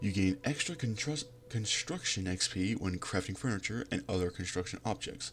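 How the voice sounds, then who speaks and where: Soft-spoken and at a moderate pace, a man talks with lively intonation as music plays in the background. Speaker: gaming youtuber. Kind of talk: gameplay commentary, reading game text aloud. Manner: halting.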